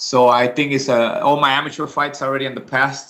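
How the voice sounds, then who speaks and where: A man with a Spanish accent talks in a bright, sharp tone. His intonation stays fairly even. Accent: Spanish accent, noticeable. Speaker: MMA fighter. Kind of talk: interview. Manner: hesitant, many fillers.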